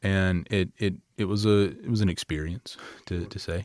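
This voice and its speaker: A man with a Southern US accent speaks at a very deep, low pitch with fairly even intonation. The recording is very clean, with a silent background. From Lower Alabama. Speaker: pastor. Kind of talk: sermon.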